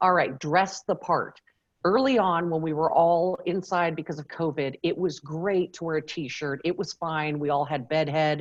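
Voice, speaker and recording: An animated tone with ordinary pitch variation. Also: woman, fairly low pitch for a woman. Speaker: media trainer and former TV journalist. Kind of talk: keynote presentation. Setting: video call. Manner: fast.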